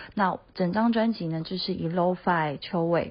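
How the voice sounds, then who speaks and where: A woman with a Mandarin Chinese accent at a medium pitch, somewhat breathy, with fairly even intonation and a very slow pace. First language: Mandarin Chinese (speaking Japanese). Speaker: singer and producer. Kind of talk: recorded comment message.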